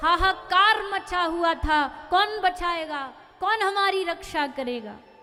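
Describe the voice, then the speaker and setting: A woman with an extremely high pitch speaks in a raised, projected voice with ordinary pitch variation as music plays in the background. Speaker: devotional storyteller (katha narrator). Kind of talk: spoken narration in katha.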